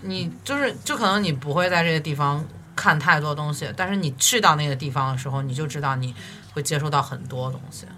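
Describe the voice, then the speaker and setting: Noticeable background noise sits under talk delivered fairly quickly. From Xi'an, China. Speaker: recent graduate, former exchange student. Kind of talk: casual chat. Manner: halting.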